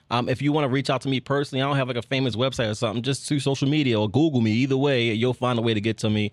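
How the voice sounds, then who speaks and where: A man with an American accent talks very fast, with hardly any pauses, at a medium pitch. His intonation is fairly even, his loudness very even, and the background is quiet. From Baltimore, Maryland. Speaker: film director. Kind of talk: casual interview. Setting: studio.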